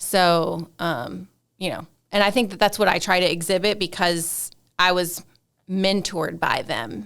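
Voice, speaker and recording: On a very clean recording with a silent background, a woman with a fairly low pitch and vocal fry speaks at a fairly slow pace with ordinary pitch variation. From Kentucky. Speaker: nonprofit CEO and recovery advocate. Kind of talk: casual interview chat. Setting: studio.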